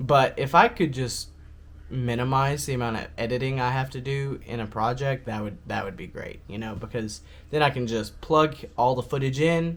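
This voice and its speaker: A man of medium pitch mumbles at a moderate pace with ordinary pitch variation. His loudness swings widely. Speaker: vlogger. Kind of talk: casual vlog talk. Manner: mumbling.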